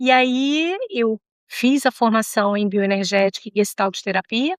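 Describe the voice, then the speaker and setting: Using a plain, everyday voice, a woman with fairly high pitch speaks at a fairly slow pace with lively intonation, in a dry, close sound with no echo. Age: 60s. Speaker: psychologist. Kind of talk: interview.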